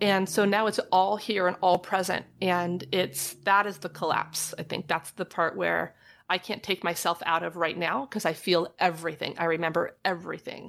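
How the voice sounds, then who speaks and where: The speaker has vocal fry, fairly even intonation and hardly any pauses, on a very clean recording with a silent background. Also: woman, fairly low pitch for a woman, moderate pace. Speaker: licensed marriage and family therapist. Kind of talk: casual interview chat. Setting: trailer studio.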